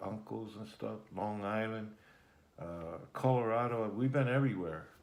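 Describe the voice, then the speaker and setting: With audible room echo, a man speaks at a fairly low pitch and moderate pace, his pitch varying in an ordinary way. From Germany and Puerto Rico. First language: German. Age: 60s. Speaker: interviewee, grandfather. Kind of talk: family interview.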